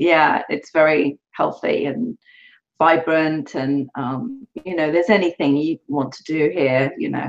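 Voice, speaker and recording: Her very deep, low pitch carries ordinary variation, and this woman talks at a fairly slow pace with big swings in loudness. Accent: English. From England. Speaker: author. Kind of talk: interview.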